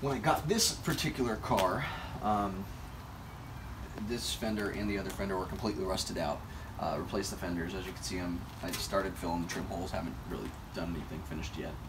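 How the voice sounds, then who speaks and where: Noticeable noise runs in the background. The talking goes very fast. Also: man. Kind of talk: casual walkaround tour. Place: street. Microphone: camera far.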